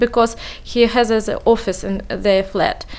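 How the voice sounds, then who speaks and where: A high-pitched woman at a fairly slow pace, with ordinary pitch variation and noticeable background noise. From Uzbekistan. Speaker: refugee, former neurologist. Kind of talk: radio interview. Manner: halting.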